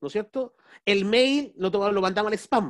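Over a quiet background, a man with a high pitch speaks at a moderate pace with ordinary pitch variation. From Chile. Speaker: business strategy consultant and speaker; speaker. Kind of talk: webinar talk. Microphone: video call.

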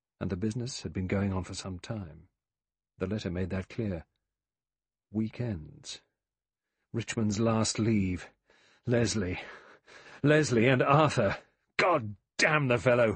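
With a theatrical tone and a somewhat breathy quality, a man of fairly low pitch speaks at a fairly slow pace, using ordinary pitch variation and long, frequent pauses. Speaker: audiobook narrator. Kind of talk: dramatic audiobook narration of a mystery novel, reading aloud with character voices. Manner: measured, suspenseful, theatrical pacing; shifts tone to voice each character.

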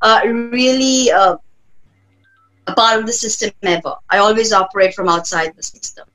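Over music in the background, the speaker's intonation stays fairly even. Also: woman. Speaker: tarot reader and spiritual healer. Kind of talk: interview answer. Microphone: webcam.

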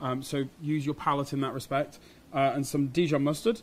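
He keeps up a fairly quick pace. The voice belongs to a man. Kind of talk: tutorial. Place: shop.

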